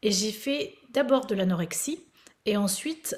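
Somewhat breathy and fairly high-pitched, a woman speaks with lively intonation. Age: 50s. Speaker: fitness coach. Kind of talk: casual chat.

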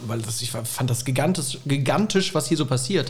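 At a fairly quick pace, a man speaks in a plain, everyday voice. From Rhineland-Palatinate, Bad Kreuznach area. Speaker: comedian and university lecturer. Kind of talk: casual chat. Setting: remote call.

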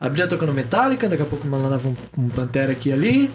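A man races along at a very fast pace. His pitch swings very widely. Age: 20s. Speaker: podcaster and singer. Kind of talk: casual chat.

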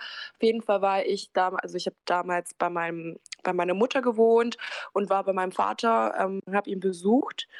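In a very clean recording with a silent background, a woman with a normal speaking voice talks at a moderate pace and medium pitch, her fairly even intonation captured dry and close with no echo. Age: 20s. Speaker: care worker, interview guest. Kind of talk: personal testimony.

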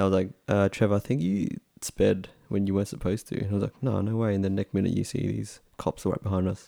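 In an Australian accent, a man talks very fast at a fairly low pitch, his intonation monotone and flat. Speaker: podcast host. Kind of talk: casual chat.

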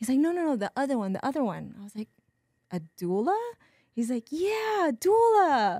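On a very clean recording with a silent background and a dry, close sound without echo, a woman speaks at a high pitch in a dark, mellow tone with very wide pitch swings. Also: moderate pace. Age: 40s. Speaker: massage therapist and birth doula. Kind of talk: casual chat.

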